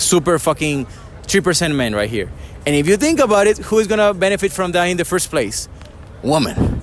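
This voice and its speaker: Speaking with a non-native accent, a man talks at a fairly quick pace over noticeable background noise. His voice is high and swings very widely in pitch. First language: not English. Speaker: dating coach. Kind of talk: interview. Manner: casual.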